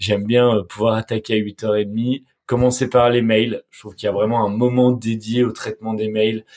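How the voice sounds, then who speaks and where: A man speaks at a fairly slow pace in a monotone, flat delivery. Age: 20s. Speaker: media entrepreneur. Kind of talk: casual interview. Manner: halting, frequent repetitions.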